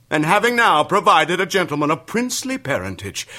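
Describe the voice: A man puts on a character voice at a fairly quick pace. It sits fairly high, has a bright, sharp tone and swings very widely in pitch.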